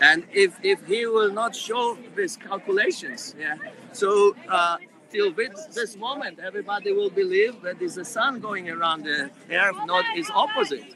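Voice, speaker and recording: A man's raised, projected voice with a Polish accent, high in pitch and lively in intonation, at a fairly slow pace over noticeable background noise. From Poland. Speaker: protester. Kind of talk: street interview. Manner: halting.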